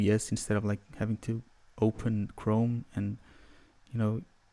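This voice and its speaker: Soft-spoken and monotone, the voice has flat intonation and a dark, mellow tone. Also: man. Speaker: music producer; livestreamer. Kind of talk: livestream tutorial. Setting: livestream from home computer. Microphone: studio mic.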